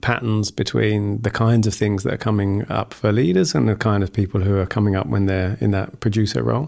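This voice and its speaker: This is a man with a British accent. His pitch sits fairly low. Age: middle-aged. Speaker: podcast host. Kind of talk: interview conversation. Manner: halting.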